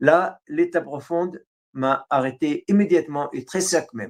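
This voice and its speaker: At a fairly slow pace, a man with an Arabic accent talks in a high pitch. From Syria. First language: Arabic (speaking French). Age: 60s. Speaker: writer. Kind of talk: interview. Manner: halting, many hesitations.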